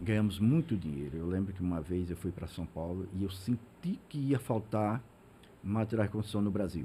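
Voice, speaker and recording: A man speaks at a moderate pace in a very deep, low pitch, his dark, mellow tone somewhat breathy. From Sergipe interior, Brazil (Ribeirópolis). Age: 60s. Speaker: business founder. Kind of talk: interview. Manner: halting, many repeated words.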